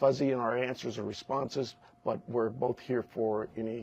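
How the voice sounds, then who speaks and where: A man with a medium pitch speaks at a moderate pace, his intonation fairly even. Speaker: sheriff. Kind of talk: press conference. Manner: soft-spoken; halting, many fillers.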